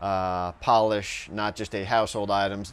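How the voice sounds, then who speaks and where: The man's pitch sits fairly low. He keeps a moderate pace. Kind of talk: tutorial. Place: garage. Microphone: lapel.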